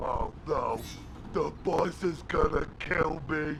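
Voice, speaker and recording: A man puts on a character voice and speaks at a very slow pace. Clear background noise runs underneath. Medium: video game. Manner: boastful, thuggish.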